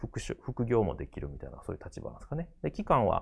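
This man's medium-pitched voice comes through against a quiet background. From Japan, Kobe (Kansai); Japan. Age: 40s. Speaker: graphic designer and art director; design lecturer. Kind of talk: lecture. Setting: studio. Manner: halting, many fillers. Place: studio. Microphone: lapel.

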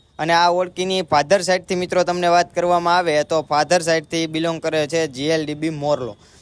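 A man speaks at a high pitch. His intonation stays monotone and flat. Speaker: YouTuber showing cattle farms. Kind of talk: video tour narration.

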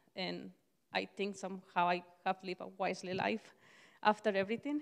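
Here a woman talks at a fairly quick pace with vocal fry. The background is quiet. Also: ordinary pitch variation. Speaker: church member sharing testimony; speaker. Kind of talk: testimony. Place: church. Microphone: handheld.

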